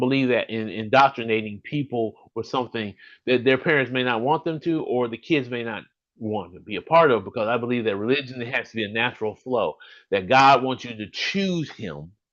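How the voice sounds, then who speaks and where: A man with an American accent speaks in an animated tone with ordinary pitch variation. The background is quiet. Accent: slight Southern accent, some say none. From US South, Birmingham, Alabama. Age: 50s. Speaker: podcast host. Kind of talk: solo live stream monologue. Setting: live stream from home.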